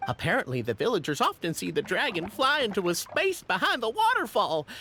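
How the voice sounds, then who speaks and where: A put-on character voice runs at a fairly high pitch and a fairly quick pace. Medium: video game. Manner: polite, formal.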